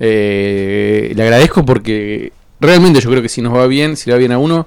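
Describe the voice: A man at medium pitch and moderate pace, his tone clear, smooth and slightly mellow, with ordinary pitch variation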